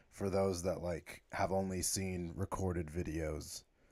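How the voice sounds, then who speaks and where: A man talks at a fairly slow pace with a very deep, low pitch. His intonation stays fairly even. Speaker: YouTuber. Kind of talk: live stream commentary. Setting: live stream. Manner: halting.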